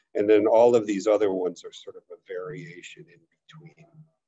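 A man in a normal speaking voice at a moderate pace, over a quiet background. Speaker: export council webinar host. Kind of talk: webinar moderation. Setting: video call. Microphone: connection problems; webcam.

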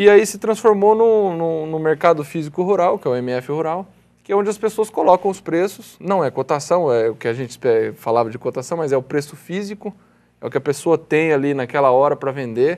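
His intonation is lively and his pitch fairly high. The man speaks at a fairly quick pace. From Brazil. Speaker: co-founder of rural marketplace website, farmer; interview guest. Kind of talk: TV interview. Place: studio. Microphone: lapel.

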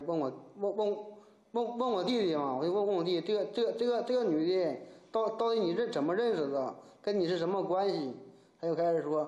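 A man with a high pitch, ordinary pitch variation, very even loudness and a fairly quick pace, with audible room echo. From Gaizhou, Liaoning, Northeast China; Liaoning. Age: 30s. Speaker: fraud victim, sailor. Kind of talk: interview testimony. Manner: halting, repetitive. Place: office.

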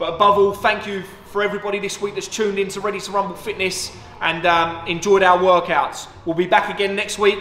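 A man speaks fast-ish in a raised, projected voice with monotone, flat intonation, over light background noise and audible room echo. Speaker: boxing coach. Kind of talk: fitness tutorial. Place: gym. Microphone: camera far.

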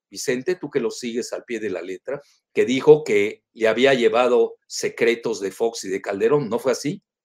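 In a dry, close sound without echo, a man speaks at a moderate pace. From Mexico, Yucatán. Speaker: political analyst. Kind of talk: interview.

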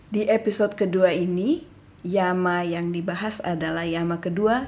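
A woman speaks at medium pitch. Her pitch varies in an ordinary way. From West Sumatra, Indonesia (Padang). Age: 50s. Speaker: yoga school head. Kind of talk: casual chat; podcast introduction.

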